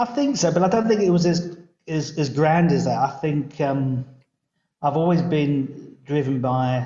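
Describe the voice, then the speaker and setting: A man with a southern English accent speaks in a somewhat breathy voice with fairly even intonation. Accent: southern English twang. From southern England (London). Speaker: local government chief executive. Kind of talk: podcast interview.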